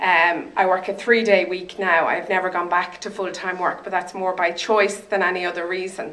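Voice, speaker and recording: A woman with an Irish accent, medium pitch and flat, monotone intonation, moderate pace, hardly any pauses, and noticeable background noise. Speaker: stroke survivor and advocate. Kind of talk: testimony. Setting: stage with audience.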